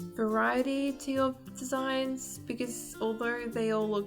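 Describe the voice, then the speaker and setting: Music can be heard in the background. Over it comes a woman's voice. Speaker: gaming video creator. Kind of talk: game building tutorial narration.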